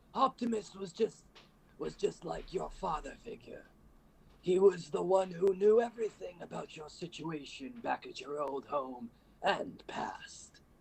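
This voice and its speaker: A man puts on a character voice pitched high. He delivers it at a moderate pace. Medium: solo performance. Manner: over-the-top.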